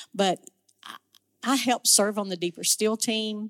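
Moving at a moderate pace with ordinary pitch variation, a woman talks in an unremarkable speaking voice, and the sound is dry and close with no echo. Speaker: ministry volunteer. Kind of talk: testimony. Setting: church.

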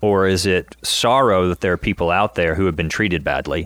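A man's normal speaking voice, fairly low in pitch, at a moderate pace. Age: 30s. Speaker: podcast co-host. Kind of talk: casual chat.

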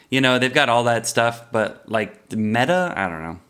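Speaking at a medium pitch, a man has an animated tone that is bright and sharp. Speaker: podcast co-host. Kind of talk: casual chat.

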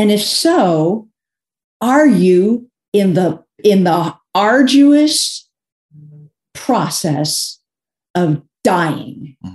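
Speaking at a very slow pace with long, frequent pauses, a woman uses a medium pitch, very wide pitch swings and a somewhat breathy voice. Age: 60s. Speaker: author and speaker. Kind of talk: casual chat. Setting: video call.

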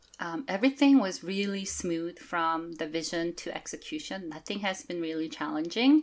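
Hardly pausing at all, a woman with a fairly low pitch speaks at a moderate pace with lively intonation. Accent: slight Korean. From South Korea. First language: Korean. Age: 40s. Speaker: shaman and oracle deck creator. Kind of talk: interview.

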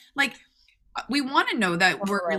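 Noticeable background noise sits under a woman's high-pitched voice. She talks at a very fast pace with very wide pitch swings. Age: 40s. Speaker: podcast host. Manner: fast talker.

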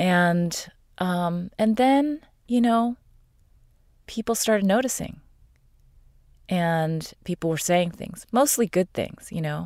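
A woman at a medium pitch with lively intonation, at a very slow pace with long, frequent pauses, dry and close with no echo, on a very clean recording with a silent background. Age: 50s. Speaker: core energetics practitioner. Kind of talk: casual chat.

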